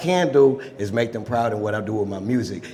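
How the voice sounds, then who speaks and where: Over noticeable background noise, a man with an American accent speaks at a moderate pace, his medium pitch showing ordinary variation. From Texas. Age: 20s. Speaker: rapper. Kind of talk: live podcast interview. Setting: stage with audience.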